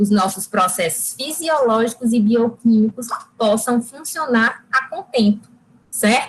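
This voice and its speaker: This is an ordinary speaking voice with ordinary pitch variation, moving at a fairly slow pace. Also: woman. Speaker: nutritionist giving a talk. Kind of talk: lecture.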